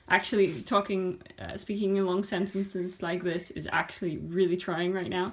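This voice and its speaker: Speaking at a moderate pace with hardly any pauses, a woman keeps a medium pitch and a monotone, flat intonation. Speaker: knitting podcaster. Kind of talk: casual vlog tutorial. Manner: halting, many fillers.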